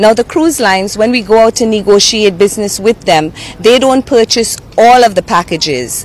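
This is a plain, everyday voice with ordinary pitch variation. The sound is dry, with no echo. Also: woman. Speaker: tourism official. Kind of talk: news interview. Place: waterside. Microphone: handheld.

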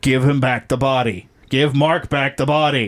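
A man puts on a booming character voice at medium pitch, speaking at a moderate pace. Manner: demanding, forceful.

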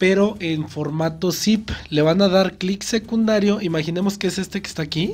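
A man talks at a moderate pace with a high pitch. His pitch varies in an ordinary way.

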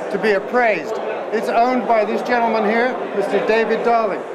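Loud background noise fills the recording. The speaking pace is moderate. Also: man. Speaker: TV co-host and appraiser. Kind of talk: event commentary and appraisal. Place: hall.

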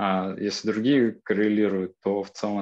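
A man's fairly low voice, dark and mellow in tone, with fairly even intonation at a fairly slow pace. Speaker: participant in a science discussion. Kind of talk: online seminar discussion. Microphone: video call.

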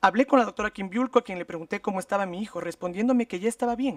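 Very fast speech over a quiet background, with a dry sound and no echo. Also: man. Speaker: state legal representative. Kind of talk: formal legal argument. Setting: public hearing. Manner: formal. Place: meeting room. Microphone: podium.

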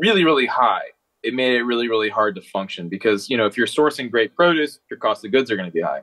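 A man speaks at a very fast pace with lively intonation and a medium pitch. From Maryland, US (Annapolis). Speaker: chef and restaurant owner. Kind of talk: casual interview chat.

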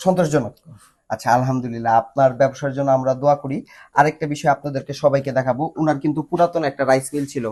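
A man's fairly high-pitched, a plain, everyday voice with fairly even intonation. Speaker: machinery company presenter. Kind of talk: promotional video presentation.

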